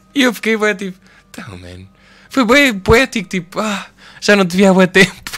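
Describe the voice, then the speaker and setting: With long, frequent pauses and big swings in loudness, a man speaks at a moderate pace in a high, bright, sharp voice with ordinary pitch variation. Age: 20s. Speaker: podcast co-host. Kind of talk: casual chat.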